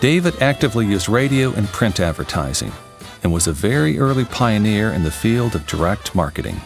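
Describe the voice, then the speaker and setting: A man talks at a fairly quick pace in a fairly low voice with lively intonation. Music plays in the background. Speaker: voice actor. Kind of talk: corporate narration.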